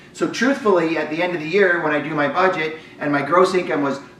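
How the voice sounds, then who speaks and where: Amid noticeable background noise and audible room echo, a man talks at a fairly quick pace in a high pitch. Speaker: business coach for realtors. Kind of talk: webinar presentation. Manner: fast.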